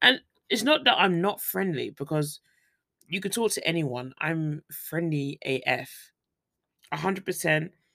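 A woman with a British accent, fairly low pitch, and a bright, sharp tone, lively intonation, a fairly slow pace and long, frequent pauses. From Britain. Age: 30s. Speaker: podcast host and teacher in Korea. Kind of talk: casual solo podcast chat. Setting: home recording with microphone.

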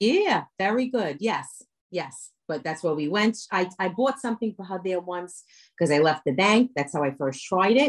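A medium-pitched woman's voice in a New York accent over a quiet background. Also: lively intonation, moderate pace. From New York, Brooklyn. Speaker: comedian and social media creator. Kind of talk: casual interview chat.

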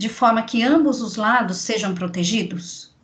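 A woman talks at a moderate pace, her fairly high voice somewhat breathy and her intonation lively. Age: 40s. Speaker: podcast host, communications adviser. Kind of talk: interview. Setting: remote recording.

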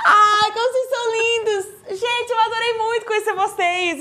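A raised, projected voice with an animated tone at a moderate pace. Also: woman. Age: 30s. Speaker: talk show host. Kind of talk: casual interview.

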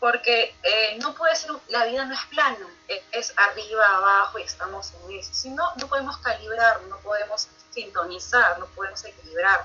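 A woman's fairly high, lively voice at a moderate pace, with big swings in loudness and noticeable background noise. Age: 30s. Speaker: life coach. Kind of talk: interview.

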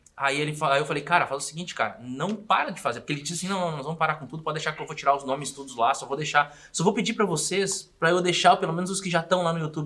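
Noticeable background noise sits under the recording. A man with a high pitch speaks at a very fast pace. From Rio Grande do Sul, Brazil (small town). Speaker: comedian and podcaster. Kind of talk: casual chat.

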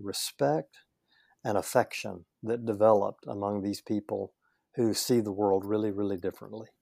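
Recorded with a dry, close sound with no echo and a very clean, silent background, a man with a Southern US accent speaks at a medium pitch in a dark, mellow tone. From US South, northeast Louisiana. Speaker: leadership coach and church consultant. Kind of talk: casual interview.

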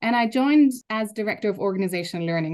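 A woman with a German accent against a quiet background. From Germany. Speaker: university learning innovation executive. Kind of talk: interview.

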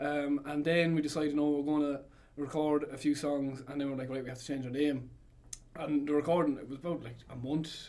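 In a strong Irish Midlands accent, the voice moves fairly quickly with a dark, mellow tone. Its intonation is flat and monotone while the loudness swings widely. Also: man, fairly high pitch for a man. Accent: Irish Midlands with Cavan touch, strong. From Longford, Ireland. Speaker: band member musician. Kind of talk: casual interview chat. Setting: radio studio.

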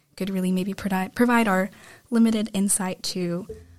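In a very clean recording with a silent background, a woman talks at a fairly quick pace in a plain, everyday voice with fairly even intonation. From United States. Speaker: podcast host, student. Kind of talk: casual discussion. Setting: studio.

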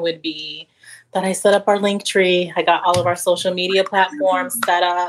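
This is a woman with an American accent and an ordinary speaking voice. Her pitch sits fairly low, and her intonation stays fairly even. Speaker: parenting coach, advocate. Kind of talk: casual chat.

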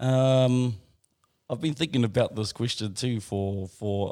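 A man speaks in a dark, mellow tone with ordinary pitch variation. The recording is very clean, with a silent background. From New Zealand, Rotorua. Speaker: Maori performing arts facilitator. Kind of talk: casual interview chat.

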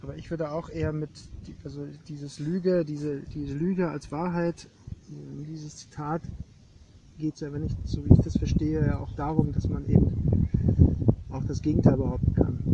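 A man with a fairly high pitch speaks at a moderate pace with fairly even intonation, long, frequent pauses and big swings in loudness. Background noise is noticeable. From East Germany. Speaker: artist and art historian. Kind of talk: casual conversation. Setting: outdoors on a meadow.

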